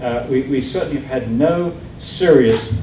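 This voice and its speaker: There is noticeable background noise and audible room echo as a man speaks with ordinary pitch variation. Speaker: scientist and anti-fluoridation campaigner. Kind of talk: public presentation. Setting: committee room with audience.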